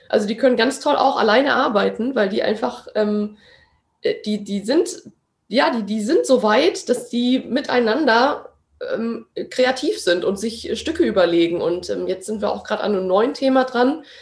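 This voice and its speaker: This woman has an ordinary speaking voice at a fairly high pitch. She speaks at a moderate pace with lively intonation. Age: 20s. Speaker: actress and acting teacher. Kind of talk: interview; guided exercise.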